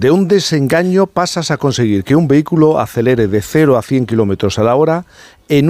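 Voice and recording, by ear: A man speaks with a slightly mellow tone. His pitch makes big swings.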